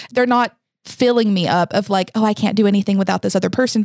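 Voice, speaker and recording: A woman's very fast speech with ordinary pitch variation, a dry, close sound with no echo, and a very clean recording over a silent background. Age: 20s. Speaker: podcast host. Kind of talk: casual chat.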